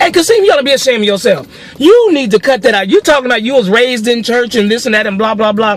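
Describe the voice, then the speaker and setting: A man's extremely high voice at a very fast pace, animated in tone and lively in intonation, over noticeable background noise. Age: 40s. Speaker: social commentary video blogger. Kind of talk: opinion rant.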